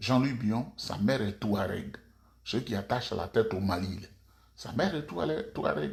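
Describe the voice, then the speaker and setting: Lively intonation marks this man's voice. He is somewhat breathy and speaks fairly slowly. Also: medium pitch for a man. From Côte d'Ivoire. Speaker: political commentator. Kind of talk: video monologue. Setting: at home. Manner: soft-spoken.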